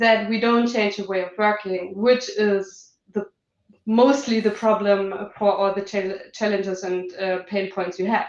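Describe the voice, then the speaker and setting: Fairly slow, monotone delivery with flat intonation and a German accent. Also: woman, medium pitch for a woman. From Germany. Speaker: business manager. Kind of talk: panel discussion.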